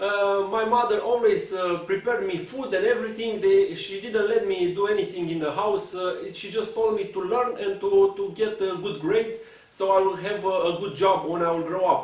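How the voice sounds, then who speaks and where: At a moderate pace and with hardly any pauses, a man speaks with a Romanian accent. His pitch is high, with noticeable background noise behind him. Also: ordinary pitch variation. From Romania, Bucharest. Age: 20s. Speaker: speedcuber and puzzle content creator. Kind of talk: personal storytelling to camera. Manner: halting, many fillers.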